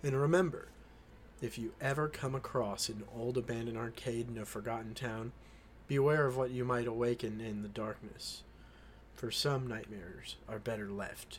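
Pitch varies in an ordinary way for this man. His voice is somewhat breathy. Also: medium pitch for a man, moderate pace. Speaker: podcast host. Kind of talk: horror narration, reading creepypasta aloud. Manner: casual, chatty in intro.

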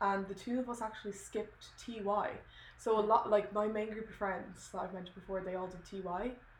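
A woman in an Irish accent speaks fairly quickly at a medium pitch in a flat monotone, with big swings in loudness and noticeable background noise. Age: 20s. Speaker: podcast co-host. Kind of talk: casual chat.

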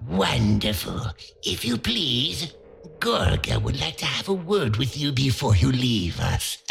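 A man speaks at a fairly slow pace and medium pitch. His pitch swings very wide. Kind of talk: storytelling. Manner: oily, polite, menacing.

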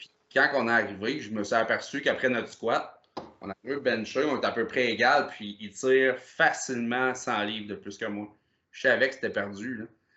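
An ordinary speaking voice from a man at a medium pitch, with ordinary pitch variation and big swings in loudness. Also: moderate pace. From Quebec, Gaspésie (Percé area). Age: 30s. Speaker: powerlifter. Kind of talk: casual chat.

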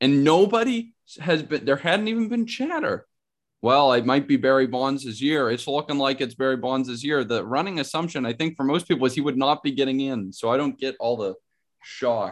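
With an American accent, a man uses a normal speaking voice at a moderate pace. His fairly high pitch moves with lively intonation. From Pittsburgh, US. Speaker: sports card podcast co-host. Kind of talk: casual chat.

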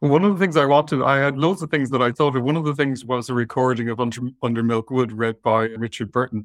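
A man with a southwest Irish accent and a medium pitch talks at a very fast pace with hardly any pauses, in a dry, close sound with no echo and a quiet background. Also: ordinary pitch variation. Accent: Irish, southwest Irish lilt. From southwest Ireland. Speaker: vet and talent manager. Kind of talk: casual interview chat. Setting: video call webinar.

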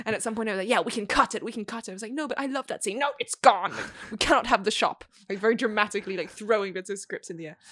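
Talking very fast, a woman with a fairly high pitch makes big swings in loudness. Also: ordinary pitch variation. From Australia. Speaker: filmmaker. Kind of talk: casual chat.

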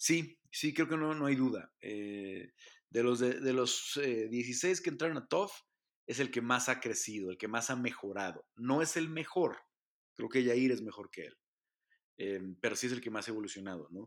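Medium-pitched male speech with lively intonation at a fairly slow pace, on a very clean recording with a silent background. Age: 40s. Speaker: MMA journalist and podcast host. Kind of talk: solo podcast commentary. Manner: hesitant with frequent fillers.

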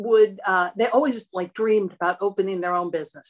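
With an American accent, a woman speaks in a dry, close sound with no echo. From Erie, Pennsylvania, US. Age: 60s. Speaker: host's mother, home cook. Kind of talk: casual chat. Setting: video call.

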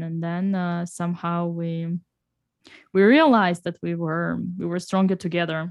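A woman speaks with a Russian accent in a fairly low pitch. Her intonation is monotone and flat. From Russia, Saint Petersburg. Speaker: chess grandmaster and streamer. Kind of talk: casual interview. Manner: halting, many fillers.

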